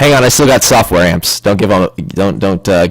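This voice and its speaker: In an American accent, the speaker keeps very even loudness, ordinary pitch variation and a moderate pace over noticeable background noise. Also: man, fairly low pitch for a man. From Midwestern US. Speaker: group voice chat participant.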